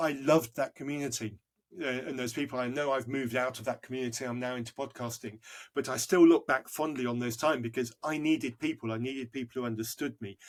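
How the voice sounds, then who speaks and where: Speaking very fast, a man with a British accent keeps a medium pitch and fairly even intonation. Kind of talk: podcast interview.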